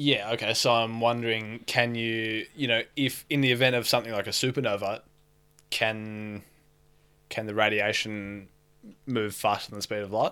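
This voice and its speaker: In a very clean recording with a silent background, a man speaks with an Australian accent at a moderate pace. His medium-pitched voice is bright and sharp, with monotone, flat intonation. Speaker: podcast co-host, tradesman. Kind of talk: casual chat.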